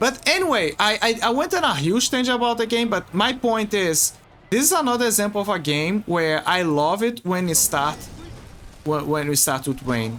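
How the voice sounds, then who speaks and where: A man with a Portuguese accent, high pitch and a bright, sharp tone, very wide pitch swings, very even loudness and a moderate pace. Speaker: video game streamer. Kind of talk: casual livestream commentary. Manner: halting, many repetitions and fillers.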